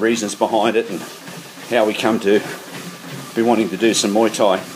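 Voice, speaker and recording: A man with an Australian accent at a fairly quick pace amid noticeable background noise. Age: 60s. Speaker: podcast host and amateur kickboxer. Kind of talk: casual monologue. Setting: on a treadmill in a shed.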